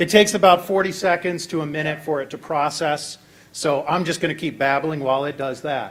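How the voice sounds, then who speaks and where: This man has a normal speaking voice with a fairly high pitch. His intonation is fairly even. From Virginia, US. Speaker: hackathon presenter, software developer. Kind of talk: live tech demo presentation.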